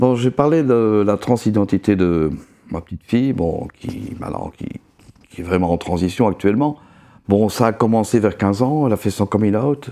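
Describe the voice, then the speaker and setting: At a moderate pace, a man talks with a fairly low pitch, a dark, mellow tone and ordinary pitch variation. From Belgium. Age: 60s. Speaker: interviewee. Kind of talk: testimony.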